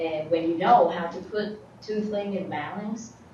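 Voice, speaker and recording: A woman at a fairly slow pace with fairly even intonation, audible room echo and noticeable background noise. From outside the US. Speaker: student. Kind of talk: class discussion.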